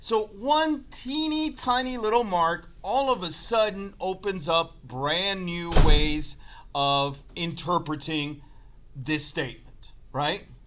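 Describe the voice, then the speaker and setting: Speaking at a very slow pace, a man with a high pitch makes very wide pitch swings over noticeable background noise. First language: not English. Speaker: chemistry teacher. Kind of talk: lecture.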